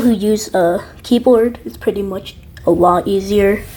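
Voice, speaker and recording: Fairly high in pitch, a woman speaks at a moderate pace with ordinary pitch variation. There is noticeable background noise. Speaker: game video creator. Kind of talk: casual game tutorial talk.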